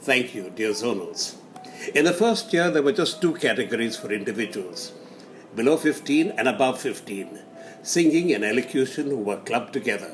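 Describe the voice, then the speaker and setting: Over music in the background, a man talks at a medium pitch with very wide pitch swings. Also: moderate pace. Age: 80s+. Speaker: community elder reminiscing. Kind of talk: recorded reminiscence.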